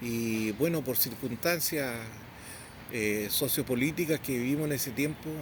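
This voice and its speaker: Someone with a plain, everyday voice speaks at a fairly slow pace with ordinary pitch variation. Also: man, medium pitch for a man. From southern Chile, Temuco area. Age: 60s. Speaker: Mapuche community leader. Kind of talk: interview. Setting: outdoors at a memorial.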